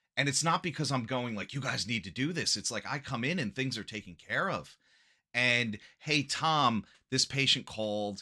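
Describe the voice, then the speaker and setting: A man speaks loudly in an animated tone with lively intonation. His voice has a bright, sharp tone. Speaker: acupuncturist. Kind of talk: podcast interview.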